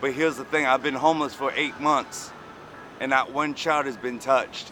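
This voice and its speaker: Here a man speaks at a moderate pace. His pitch is fairly high and his intonation fairly even. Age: 30s. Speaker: homeless former prisoner telling his story. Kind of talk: street interview.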